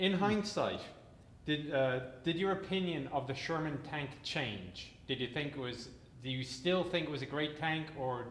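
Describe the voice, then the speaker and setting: His pitch variation is ordinary. The man talks at a moderate pace. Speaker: military historian host. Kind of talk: interview questions.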